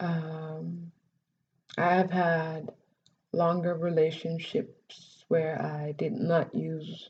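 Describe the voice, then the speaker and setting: Her pace is very slow and her voice somewhat breathy. The woman keeps a fairly low pitch and fairly even intonation. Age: 30s. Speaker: vlogger. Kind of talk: personal vlog testimony. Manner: halting.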